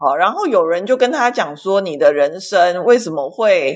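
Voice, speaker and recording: Against a quiet background, a woman speaks at a fairly slow pace and a medium pitch. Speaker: ministry worker for women in sex trade. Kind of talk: casual chat. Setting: online audio room.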